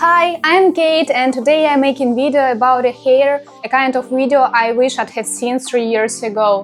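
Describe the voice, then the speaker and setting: Noticeable background noise surrounds a woman with a non-native accent. She talks fairly slowly in a high voice. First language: not English. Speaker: beauty vlogger. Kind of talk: personal vlog.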